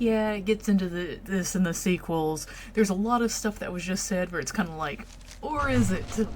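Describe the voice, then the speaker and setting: Here a woman with a Southern US accent talks at a moderate pace. Her pitch is medium and her intonation lively. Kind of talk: casual gameplay commentary. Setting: home with background noise.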